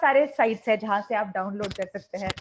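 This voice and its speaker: Against a quiet background, a woman speaks in a fairly high pitch with lively intonation. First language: Malayalam (speaking Hindi). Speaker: English teacher. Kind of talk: online interactive class.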